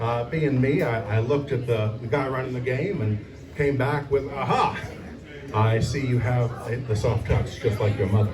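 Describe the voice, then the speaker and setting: Background noise is noticeable as a man speaks at a moderate pace. His pitch is medium, with ordinary variation. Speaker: stand-up comedian. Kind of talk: stand-up comedy set at open mic. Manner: hesitant, halting.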